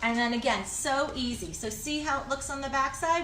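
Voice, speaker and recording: Over noticeable background noise and audible room echo, a woman speaks at a fairly quick pace with ordinary pitch variation. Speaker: lifestyle DIY vlogger. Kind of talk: tutorial. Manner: fast; casual, chatty.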